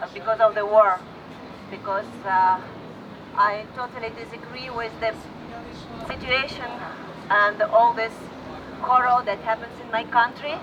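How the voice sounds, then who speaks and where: Noticeable background noise sits under a woman speaking at a fairly slow pace with long, frequent pauses. Her pitch is fairly high with ordinary variation, and her loudness swings widely. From Russia. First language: Russian. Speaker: rally speaker. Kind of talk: public speech. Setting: outdoor rally. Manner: halting.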